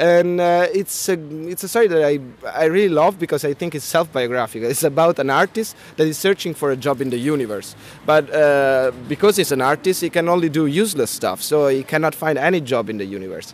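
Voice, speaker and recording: With an Italian accent and lively intonation, a man with a fairly high pitch talks at a fairly quick pace against noticeable background noise. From Italy. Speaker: comic artist and illustrator. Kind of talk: interview. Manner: halting, with many repetitions and fillers.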